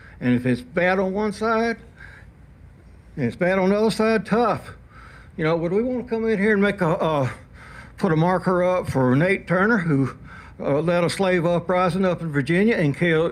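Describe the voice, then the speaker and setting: A high-pitched man with an Alabama accent, his speech broken by long, frequent pauses. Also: ordinary pitch variation, moderate pace. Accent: Southern US (Alabama). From Alabama, US South. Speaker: public commenter at city council meeting. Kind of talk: public comment speech. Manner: animated.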